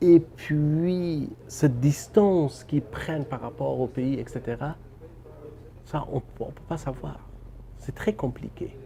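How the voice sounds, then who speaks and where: A man with a Persian accent and a fairly high pitch, ordinary pitch variation, a very slow pace and long, frequent pauses. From Afghanistan. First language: Persian (speaking French). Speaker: novelist and filmmaker. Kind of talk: interview. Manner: halting, with repetitions.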